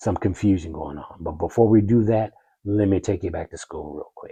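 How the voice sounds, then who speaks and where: A man's somewhat breathy, dark and mellow voice at a fairly low pitch, with ordinary pitch variation and a moderate pace, in a dry, close sound with no echo. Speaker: content creator and DJ. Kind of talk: political explainer monologue. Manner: animated.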